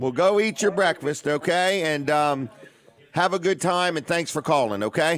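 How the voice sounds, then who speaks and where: With an American accent and an ordinary speaking voice, a man speaks at a moderate pace in a fairly high pitch. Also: ordinary pitch variation. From Washington DC area. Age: 60s. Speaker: radio and TV show host. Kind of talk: live radio talk show. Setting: radio studio.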